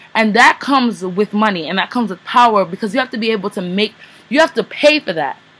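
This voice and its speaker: Through noticeable background noise, a woman speaks at a fairly high pitch with lively intonation. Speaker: poet. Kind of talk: casual talk to camera.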